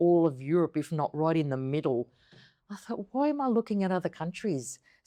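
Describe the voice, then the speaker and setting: This woman has an Australian accent and a fairly low, dark, mellow voice with very wide pitch swings. The sound is dry and close, with no echo. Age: 50s. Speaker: interviewee, returning emigrant. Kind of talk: interview conversation.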